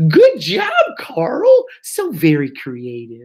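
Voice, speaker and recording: A man puts on a squeaky character voice, high in pitch. He speaks at a very slow pace. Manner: encouraging, praising.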